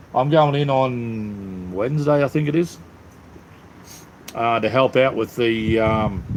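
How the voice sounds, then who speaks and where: A man speaks in an Australian accent at a fairly slow pace. He leaves long, frequent pauses. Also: medium pitch for a man, ordinary pitch variation. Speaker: livestreamer. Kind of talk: casual chat. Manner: casual, halting with fillers.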